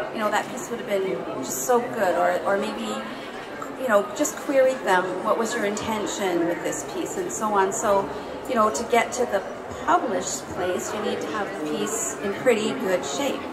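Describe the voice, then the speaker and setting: Loud background noise fills the recording. Through it, a woman talks at a moderate pace. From Canadian prairies. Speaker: poet. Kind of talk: panel discussion. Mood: thoughtful, calm. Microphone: handheld.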